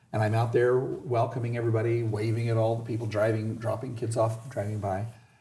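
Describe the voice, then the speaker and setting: In an American accent, a man speaks fairly quickly at medium pitch, with a dark, mellow tone that is somewhat breathy, and audible room echo. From US West, Southern California (Indio). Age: 60s. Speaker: school principal. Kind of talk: interview.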